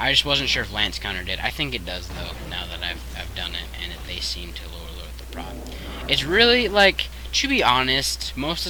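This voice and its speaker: A man talking at a very fast pace, with noticeable background noise and audible room echo. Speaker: video game streamer. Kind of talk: live gameplay commentary. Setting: live stream.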